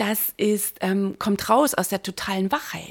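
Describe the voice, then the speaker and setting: A woman's medium-pitched, animated, enthusiastic voice at a fairly slow pace. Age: 50s. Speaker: mindset and business coach, podcaster. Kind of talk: solo podcast monologue, year in review. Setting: home, recording alone with coffee.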